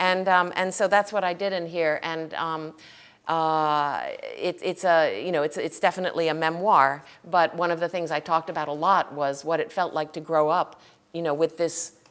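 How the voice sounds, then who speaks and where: This woman has a fairly low pitch. She talks at a moderate pace with fairly even intonation. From US, Connecticut and California. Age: 50s. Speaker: novelist. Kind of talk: onstage interview. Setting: stage with audience. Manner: hesitant, many fillers and repeats.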